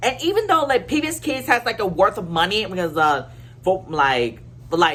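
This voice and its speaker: A woman at a moderate pace with very wide pitch swings, over noticeable background noise. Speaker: YouTuber. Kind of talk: casual rant to camera. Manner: halting, many fillers and restarts.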